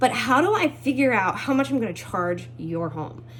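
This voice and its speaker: An animated tone comes from a woman. Behind her, background noise is noticeable. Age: 20s. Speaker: house cleaner. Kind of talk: casual self-introduction video. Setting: at home.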